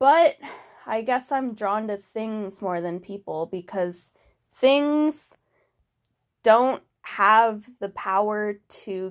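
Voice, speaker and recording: A woman's medium-pitched voice with lively intonation, an ordinary speaking voice, in a very clean recording with a silent background. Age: 20s. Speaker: podcast host. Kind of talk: solo podcast monologue.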